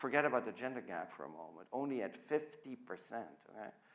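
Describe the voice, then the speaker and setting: A man with a Dutch accent speaks at a very fast pace. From Netherlands. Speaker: physics professor. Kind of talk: lecture.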